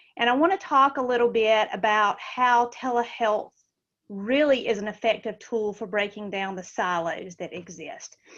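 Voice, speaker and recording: A woman with a Southern US accent speaks at a moderate pace in a fairly high pitch, her pitch varying in an ordinary way against a quiet background. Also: big swings in loudness. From US South, Georgia. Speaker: school telehealth director and nurse. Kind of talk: webinar presentation.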